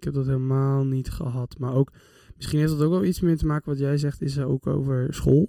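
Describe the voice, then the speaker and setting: Dark and mellow in tone, a man's fairly high voice moves at a fairly quick pace. The sound is dry and close, with no echo. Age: 20s. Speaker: psychology student. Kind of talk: casual chat.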